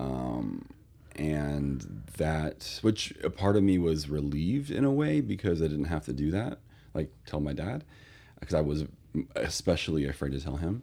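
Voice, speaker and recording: A man with a very deep, low voice, a dark, mellow tone and an American accent speaks at a fairly slow pace with ordinary pitch variation on a very clean recording with a silent background. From Northern California. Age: 30s. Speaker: postdoctoral scholar. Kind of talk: interview. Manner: halting.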